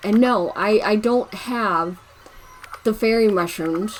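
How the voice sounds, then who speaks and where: A woman's medium-pitched voice comes through with noticeable noise in the background. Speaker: gaming YouTuber. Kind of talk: casual gameplay commentary. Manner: halting, stumbling over words.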